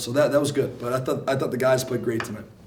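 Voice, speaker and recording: A man at medium pitch with fairly even intonation, in audible room echo with noticeable background noise. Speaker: basketball coach. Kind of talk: press conference.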